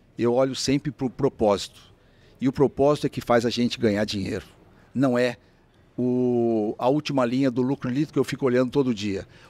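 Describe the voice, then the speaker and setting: In a dry, close recording with no echo, a man with a dark, mellow tone and medium pitch talks at a fairly quick pace. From São Paulo, Brazil (Mooca, east side). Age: 60s. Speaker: franchise businessman. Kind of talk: interview conversation. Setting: restaurant.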